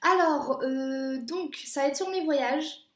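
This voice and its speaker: Someone speaks at a very slow pace, with audible room echo around the voice. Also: woman. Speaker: au pair vlogger. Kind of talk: casual vlog monologue. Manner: hesitant, many fillers.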